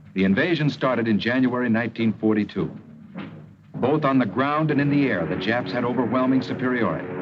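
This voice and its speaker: Noticeable background noise sits under this recording. A man at medium pitch talks at a fairly quick pace with ordinary pitch variation. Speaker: actor. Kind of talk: wartime documentary narration. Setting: old mono film soundtrack.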